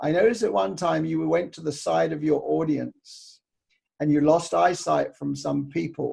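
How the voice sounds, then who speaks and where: A man with a New Zealand accent, at a moderate pace. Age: 70s. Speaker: interviewer and speaking coach. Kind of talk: interview.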